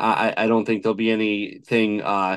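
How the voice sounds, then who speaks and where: Against a quiet background, a man uses a normal speaking voice at a fairly low pitch. He moves at a fairly quick pace. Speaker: guest. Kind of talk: interview answer. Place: home room. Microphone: video call.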